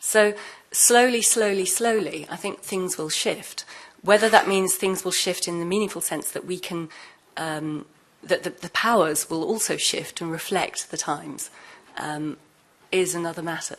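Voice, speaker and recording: Delivered at a moderate pace with a British accent, the speech shows ordinary pitch variation and big swings in loudness. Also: woman, medium pitch for a woman. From UK. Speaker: former intelligence officer turned whistleblower. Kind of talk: panel discussion.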